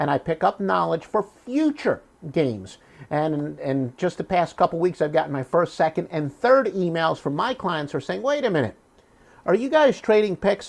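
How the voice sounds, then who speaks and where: Very wide pitch swings in a Philadelphia accent. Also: man, high pitch for a man, moderate pace. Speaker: sports handicapper. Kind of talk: promotional monologue. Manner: drops h in words like human.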